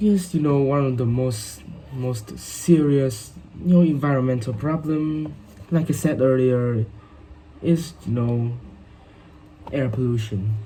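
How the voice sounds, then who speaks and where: A man speaks at medium pitch and a fairly slow pace, with long, frequent pauses. Noticeable background noise and audible room echo are present. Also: ordinary pitch variation. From Vietnam. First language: Vietnamese. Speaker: English learner. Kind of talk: speaking exam practice. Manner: halting, many fillers.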